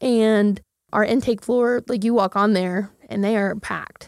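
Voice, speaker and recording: A woman with a plain, everyday voice speaks with an American accent at a fairly high pitch. Her pitch varies in an ordinary way on a very clean recording with a silent background. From Oklahoma, Midwest City. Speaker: marketing company founder and CEO. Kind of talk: casual interview.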